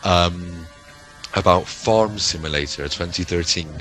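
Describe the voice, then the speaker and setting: With music playing in the background, a man speaks in a Bristol accent with ordinary pitch variation. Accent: West Country (Bristolian). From West Country, England (Bristol). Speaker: gaming YouTuber. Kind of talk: casual chat. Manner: halting, many fillers and repetitions.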